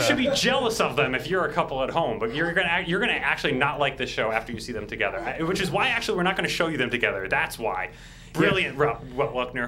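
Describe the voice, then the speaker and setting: With noticeable background noise behind him, a man talks at a very fast pace in an enthusiastic tone, his fairly high pitch making very wide swings. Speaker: stream technical director. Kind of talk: casual live banter. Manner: enthusiastic, jokey.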